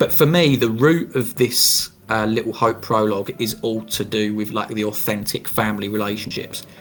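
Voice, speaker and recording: Music plays in the background as a man at medium pitch speaks with hardly any pauses and ordinary pitch variation. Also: moderate pace. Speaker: podcast host. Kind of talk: casual podcast discussion.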